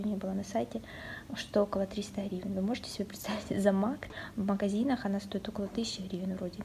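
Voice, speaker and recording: The woman speaks very fast, her intonation fairly even. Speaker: beauty vlogger. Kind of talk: casual talk to camera, unboxing vlog. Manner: soft-spoken.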